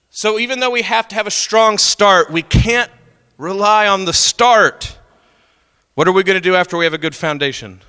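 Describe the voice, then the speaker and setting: An American-accented man projects a raised voice at a high pitch, his tone bright, sharp and animated. He keeps a moderate pace with ordinary pitch variation, and the sound is dry and close with no echo. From Oklahoma. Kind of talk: talk to a youth audience.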